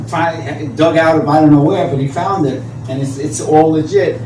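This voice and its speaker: A man's fairly high voice, ordinary pitch variation, audible room echo and noticeable background noise. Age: 60s. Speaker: graffiti artist. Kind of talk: conference talk. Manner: halting.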